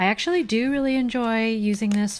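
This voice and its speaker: In a very clean recording with a silent background, a woman talks at a fairly slow pace. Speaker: stationery YouTuber. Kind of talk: casual vlog chat. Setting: at home desk.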